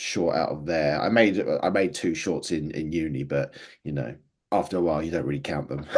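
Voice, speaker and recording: A man with an Essex accent against a quiet background. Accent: southern English (Essex). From Essex, England. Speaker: filmmaker. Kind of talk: interview.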